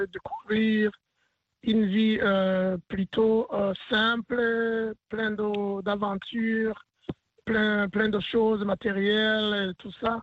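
This man speaks at a very slow pace. His pitch is high. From Burundi. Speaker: community leader and basketball team head. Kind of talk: radio interview. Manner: hesitant, many fillers and repetitions.

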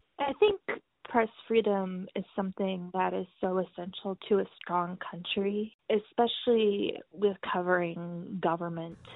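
A woman speaks very slowly in a medium pitch. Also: fairly even intonation. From Cambodia (Phnom Penh), American expat family. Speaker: newspaper reporter. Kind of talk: interview.

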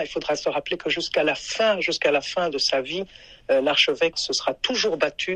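This woman's voice sits fairly low in pitch with ordinary variation. She talks at a moderate pace. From Burundi. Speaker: human rights advocate, former foundation staffer. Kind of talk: interview. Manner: halting, many hesitations.

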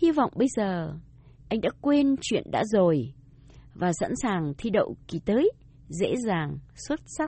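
A woman's somewhat breathy, fairly high voice at a very slow pace, with very wide pitch swings and long, frequent pauses. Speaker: radio language teacher. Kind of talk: scripted bilingual lesson dialogue.

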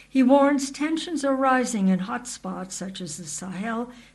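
Somewhat breathy speech comes at a moderate pace with lively intonation. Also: woman. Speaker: radio news reporter. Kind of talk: scripted news report. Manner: formal, even, measured.

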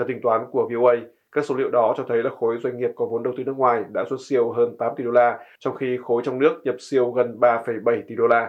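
Speaking at a fairly quick pace, a man holds a medium pitch with monotone, flat intonation. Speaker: news presenter. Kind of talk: news reading. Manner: formal.

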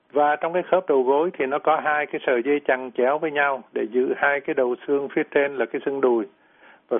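A man with a fairly high pitch speaks at a moderate pace with fairly even intonation. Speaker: physician, pediatrics and general medicine. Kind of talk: medical Q&A explanation. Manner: halting, many fillers and repetitions.

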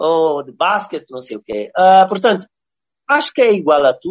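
With lively intonation, a man keeps to a moderate pace. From Mozambique. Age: 40s. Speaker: visual artist. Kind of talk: interview. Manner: halting, with many repetitions.

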